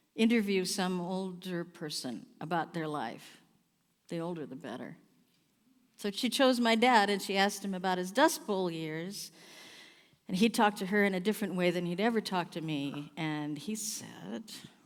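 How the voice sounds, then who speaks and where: A normal speaking voice with an American accent and lively intonation comes through on a very clean recording with a silent background. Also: woman, medium pitch for a woman, moderate pace. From US Pacific Northwest. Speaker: singer-songwriter performing a one-woman play. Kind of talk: theatrical monologue.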